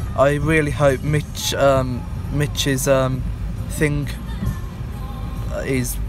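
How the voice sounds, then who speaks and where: Dry, echo-free male speech with clear music behind it. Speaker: vlogger. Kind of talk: casual vlog chat. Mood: excited, eager. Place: car. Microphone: phone near.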